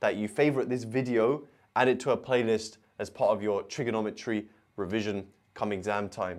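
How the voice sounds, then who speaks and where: The background is quiet here. A man talks at a moderate pace. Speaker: maths tutor. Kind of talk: tutorial. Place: studio. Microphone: lapel.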